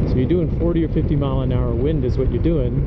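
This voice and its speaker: Loud background noise behind a man going at a fairly quick pace. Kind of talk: casual vlog chat. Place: motorbike. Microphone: helmet.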